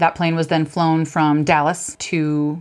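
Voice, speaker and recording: At a moderate pace, a woman talks in an ordinary speaking voice with a fairly low pitch. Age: 40s. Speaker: podcast co-host. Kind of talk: casual chat.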